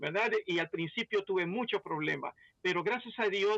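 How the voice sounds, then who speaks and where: A man's raised, projected voice, high-pitched with a bright, sharp tone, ordinary pitch variation and a moderate pace, in a dry, close sound with no echo. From Belize. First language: English (speaking Spanish). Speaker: pastor. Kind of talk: testimony.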